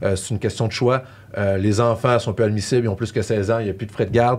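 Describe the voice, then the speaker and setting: Speaking at a very fast pace, a man has a Quebec accent. His pitch is medium, with fairly even intonation. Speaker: tax specialist. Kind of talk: podcast discussion. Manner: hesitant, many fillers.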